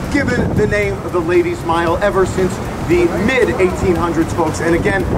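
Loud background noise under a man's fairly quick delivery. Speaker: tour guide. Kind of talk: tour commentary. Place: bus.

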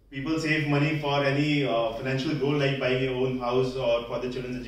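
Monotone, flat intonation in audible room echo. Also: man. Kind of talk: prepared public speech. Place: hall. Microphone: camera far.

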